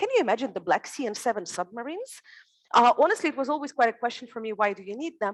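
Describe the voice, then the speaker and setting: Very fast and lively in intonation, a woman's high voice rises and falls sharply in loudness. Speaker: security conference panelist. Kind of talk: panel discussion.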